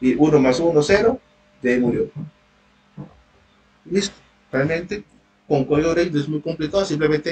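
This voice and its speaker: A man speaks at a fairly quick pace and fairly high pitch. His voice is somewhat breathy. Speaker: university tutor. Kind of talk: online lecture.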